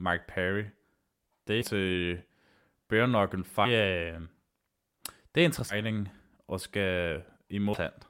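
In a very clean recording with a silent background, a man talks at a very slow pace with long, frequent pauses, his fairly low pitch varying in an ordinary way. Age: 30s. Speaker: MMA podcast host. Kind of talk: solo podcast monologue. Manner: halting, many filler sounds.

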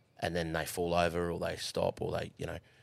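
Fairly quick speech from a man in an Australian accent. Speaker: horse racing worker. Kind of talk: casual chat. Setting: studio. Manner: animated.

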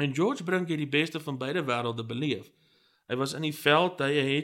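On a very clean recording with a silent background, a man with an unremarkable speaking voice talks at fairly high pitch with ordinary pitch variation. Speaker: history podcast host. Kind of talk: scripted narration.

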